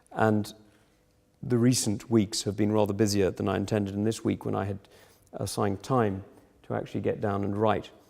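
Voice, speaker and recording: This man speaks at a fairly quick clip in a fairly low, dark and mellow voice, with monotone, flat intonation broken by long, frequent pauses. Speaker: politician. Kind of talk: lecture. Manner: halting.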